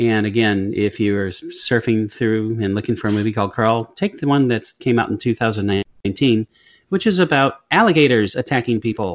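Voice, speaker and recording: A man moves at a fairly quick pace, his pitch rising and falling in an ordinary manner. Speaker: movie review podcast co-host. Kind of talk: casual chat. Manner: animated.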